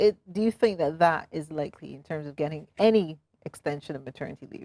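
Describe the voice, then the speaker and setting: A woman's very deep, low voice with a dark, mellow tone, at a very fast pace, in a dry, close sound with no echo. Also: ordinary pitch variation, big swings in loudness. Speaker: podcast host, foundation executive director. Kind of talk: podcast interview, host questions.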